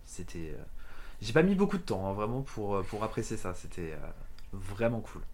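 A very slow-paced man's voice with audible room echo. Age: 20s. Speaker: podcast guest sharing a travel story. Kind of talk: casual chat. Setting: at home.

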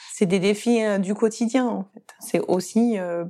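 Medium pitch and fairly even intonation in a woman's voice. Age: 40s. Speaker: gynecologist-obstetrician, fertility doctor. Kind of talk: interview testimony. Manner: hesitant, with fillers and repetitions.

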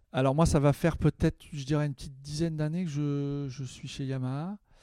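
The sound is dry and close, with no echo. A man speaks at a moderate pace with a fairly high pitch and fairly even intonation. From Paris suburbs, Val-d'Oise. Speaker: jazz trumpeter. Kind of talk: interview. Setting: studio. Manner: hesitant, repeats words.

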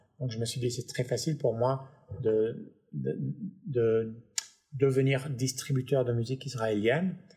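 A man speaks at a fairly slow pace, somewhat breathy. He leaves long, frequent pauses. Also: medium pitch for a man, ordinary pitch variation. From Paris, then Los Angeles from age 9. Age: 50s. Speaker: music tech entrepreneur. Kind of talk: interview conversation. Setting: home studio.

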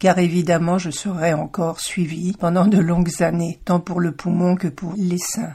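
A woman speaks with ordinary pitch variation amid noticeable background noise. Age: 60s. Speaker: podcast host and cancer survivor. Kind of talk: personal testimony. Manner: slow.

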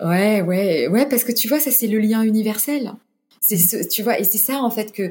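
Somewhat breathy, fairly high female voice of dark, mellow tone, moderate in pace, with ordinary pitch variation. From France, Orléans. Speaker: humanitarian communications director and yoga teacher. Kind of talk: interview. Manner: halting, many fillers and repetitions.

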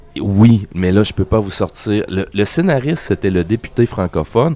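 In a Quebec accent, a man speaks with a fairly low pitch. He keeps a moderate pace. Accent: Québécois. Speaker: comic book artist. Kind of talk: casual interview. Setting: restaurant.

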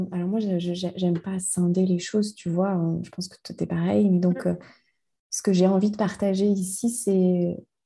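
A woman at a medium pitch, somewhat breathy, with a dark, mellow tone, very slow pace and monotone, flat intonation, over a quiet background. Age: 40s. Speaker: life coach and mentor. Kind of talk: interview conversation. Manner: halting, many repetitions and fillers.

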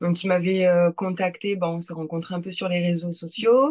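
A woman's plain, everyday voice, fairly low in pitch, at a moderate pace with fairly even intonation. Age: 20s. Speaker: amateur bodybuilding competitor. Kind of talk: casual chat.

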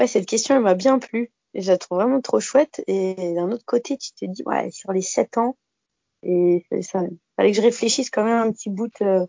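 This woman has a normal speaking voice, fairly high in pitch, with ordinary pitch variation at a moderate pace. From Alsace, France (Bas-Rhin). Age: 30s. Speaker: speech therapist. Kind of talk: casual interview.

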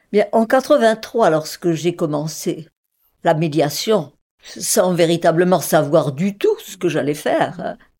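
Very slowly, a woman with a fairly low pitch and dark, mellow tone speaks with lively intonation and big swings in loudness. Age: 80s+. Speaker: mediator, former numismatics researcher. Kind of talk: interview.

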